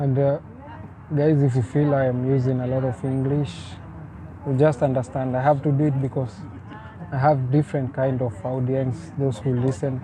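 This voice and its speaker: A man with a Kenyan accent at a medium pitch and moderate pace, with fairly even intonation, long, frequent pauses and noticeable background noise. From Kenya (village near Thika, Nairobi area). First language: Swahili. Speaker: vlogger. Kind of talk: casual vlog talk to camera.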